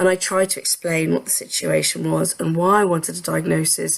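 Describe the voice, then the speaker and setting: Noticeable background noise accompanies a woman's voice. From London. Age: 40s. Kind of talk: personal testimony.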